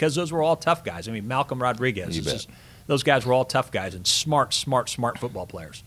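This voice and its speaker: With an American accent, a man speaks in a plain, everyday voice with lively intonation. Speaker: radio play-by-play broadcaster, voice of a university sports team. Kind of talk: podcast interview answer.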